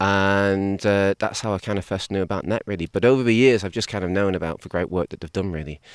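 In a very clean recording with a silent background and a dry, close sound with no echo, a man with an English accent and a fairly low pitch speaks very fast with fairly even intonation. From England. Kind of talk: interview conversation.

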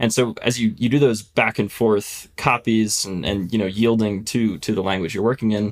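A man with an American accent and an ordinary speaking voice talks fairly quickly at a fairly low pitch, keeping his intonation fairly even. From US Northeast (Philadelphia, Pennsylvania). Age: 20s. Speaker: software engineer and author. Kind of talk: technical interview.

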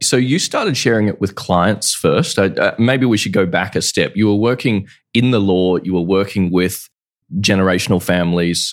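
With a normal speaking voice, a man talks at a fairly low pitch and a moderate pace, his intonation fairly even. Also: very clean recording, silent background. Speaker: podcast host. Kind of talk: interview.

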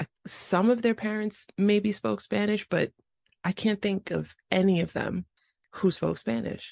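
In an ordinary speaking voice, a woman with an American accent talks at a fairly slow pace and medium pitch with ordinary pitch variation, the sound dry and close with no echo. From New York City, the Bronx. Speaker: podcast host. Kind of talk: casual interview.

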